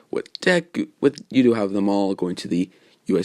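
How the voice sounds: The intonation moves in a lively way. This is a natural reading voice.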